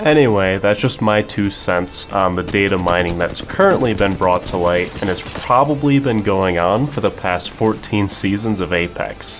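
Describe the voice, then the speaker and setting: A man speaks at a moderate pace with hardly any pauses, his fairly low voice showing ordinary pitch variation over music in the background. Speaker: gaming YouTuber. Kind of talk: scripted commentary. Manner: low energy.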